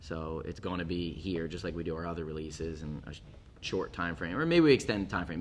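A man with a very deep, low voice speaks very fast in an American accent. Audible room echo surrounds the voice. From US East Coast, Philadelphia. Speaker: brewery co-founder. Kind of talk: casual interview.

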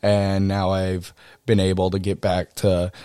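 Speaking at a very slow pace with an American accent, a man with a fairly low pitch comes through a dry, close sound with no echo in a very clean recording with a silent background. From Texas, College Station. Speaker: podcast host and hunting and fishing guide. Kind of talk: solo podcast monologue.

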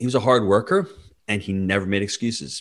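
With an unremarkable speaking voice, a man talks fairly quickly at a fairly low pitch and fairly even intonation, on a very clean recording with a silent background. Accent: American. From New York. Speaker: real estate investor. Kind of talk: interview.

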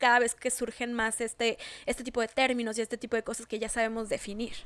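A woman with a Mexican accent at a fairly quick pace, the sound dry and close with no echo. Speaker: podcast co-host. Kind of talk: casual chat.

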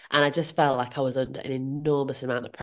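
The background is quiet. A woman with a Yorkshire accent speaks in a very deep, low pitch. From northern England, Leeds. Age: 40s. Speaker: comparison coach. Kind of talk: interview.

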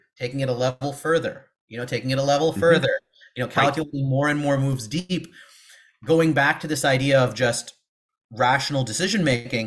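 Somewhat breathy, a man talks at a very fast pace with a West Coast US accent. The recording is very clean, with a silent background. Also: fairly high pitch for a man, ordinary pitch variation. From Seattle, US Pacific Northwest. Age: 30s. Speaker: former math teacher, education consultant. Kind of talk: interview.

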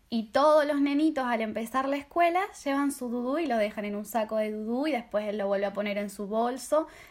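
Here a woman with an Argentine accent talks at a fairly quick pace, with hardly any pauses. Her pitch is high, and it varies in an ordinary way. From Argentina. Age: 20s. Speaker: au pair. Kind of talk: casual chat.

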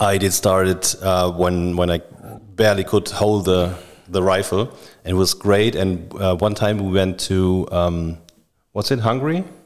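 A man with a German accent at a very deep, low pitch, a fairly slow pace with long, frequent pauses, and fairly even intonation, on a very clean recording with a silent background. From Düsseldorf, Germany. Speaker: podcast host. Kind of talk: casual chat.

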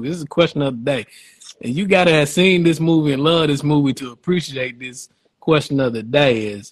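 Fairly high-pitched male voice, somewhat breathy. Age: 30s. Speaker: podcast host. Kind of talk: casual chat. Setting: live stream. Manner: animated.

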